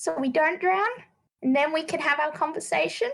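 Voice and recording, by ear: A high-pitched woman with a fairly bright tone and vocal fry speaks at a moderate pace with ordinary pitch variation.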